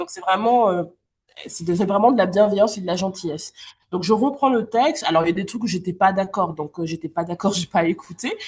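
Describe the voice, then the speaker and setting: A woman at a medium pitch speaks at a fairly quick pace, somewhat breathy, with ordinary pitch variation and big swings in loudness. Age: 30s. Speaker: novelist and literature teacher. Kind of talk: interview. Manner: hesitant, many fillers.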